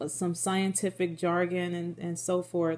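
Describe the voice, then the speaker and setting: Her dark, mellow tone sits at a medium pitch for a woman. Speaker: religious video blogger. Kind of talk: Bible study talk, partly read from notes. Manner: monotone when reading notes; repeats words, self-corrects.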